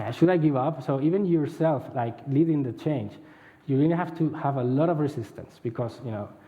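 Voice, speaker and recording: A somewhat breathy man at a fairly quick pace, with ordinary pitch variation and audible room echo. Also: fairly high pitch for a man. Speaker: head of agile center of excellence. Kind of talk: conference talk. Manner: fast.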